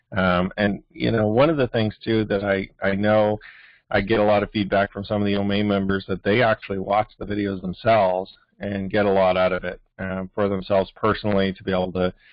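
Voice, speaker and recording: A man with an ordinary speaking voice, fairly low in pitch, fairly quick in pace, with fairly even intonation. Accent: Canadian. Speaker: network marketing team leader. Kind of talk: weekly team training call. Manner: casual, many filler words.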